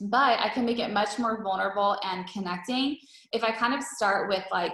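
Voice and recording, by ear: A woman talks at a moderate pace with a medium pitch and a fairly bright tone. Room echo is audible. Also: ordinary pitch variation.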